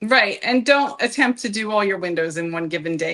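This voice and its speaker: Her pitch medium, a woman talks at a moderate pace with lively intonation. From Philadelphia area, US Northeast. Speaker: real estate agent, show co-host. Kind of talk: casual chat.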